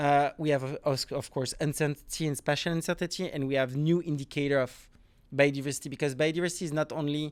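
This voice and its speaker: Speaking at a fairly quick pace with a strong French accent, a man keeps his fairly high voice fairly even in intonation, in a very clean recording with a silent background. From grew up moving between Africa, Caribbean, Asia, Latin America. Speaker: marine scientist, professor. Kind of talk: podcast interview.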